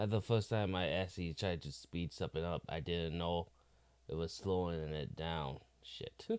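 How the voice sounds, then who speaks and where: Using fairly even intonation, a man speaks in a very deep, low pitch. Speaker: YouTube reaction streamer. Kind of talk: reaction commentary. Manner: slow.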